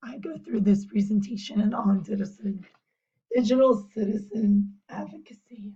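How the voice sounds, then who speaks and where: A woman speaks at a fairly slow pace in a medium-pitched, somewhat breathy voice with a dark, mellow tone. Her intonation stays fairly even. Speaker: teacher and volleyball coach. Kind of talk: class presentation.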